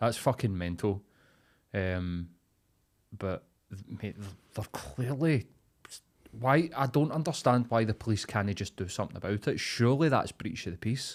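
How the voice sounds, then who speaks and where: On a very clean recording with a silent background, a man with a Glaswegian accent talks at a moderate pace and medium pitch, with lively intonation and long, frequent pauses. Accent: Glaswegian Scottish. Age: 30s. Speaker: comedian and podcast host. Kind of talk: casual chat. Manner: animated.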